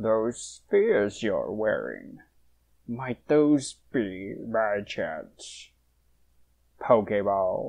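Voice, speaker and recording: A cartoonish character voice, low in pitch, at a very slow pace with long, frequent pauses, over a quiet background. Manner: effusive, flattering, courtly.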